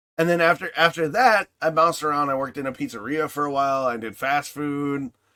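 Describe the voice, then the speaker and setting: A man with a Midwestern American accent speaks at a fairly quick pace in an animated, bright, sharp tone and fairly high pitch, the sound dry and close with no echo. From US Midwest (Michigan). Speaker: podcast host. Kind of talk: casual chat.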